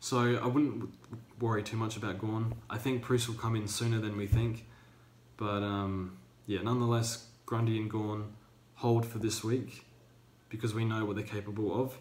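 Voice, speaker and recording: A man speaks at a medium pitch and moderate pace, somewhat breathy and monotone and flat, with audible room echo. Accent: Australian. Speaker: fantasy football youtuber. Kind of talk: casual commentary vlog. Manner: hesitant, many fillers.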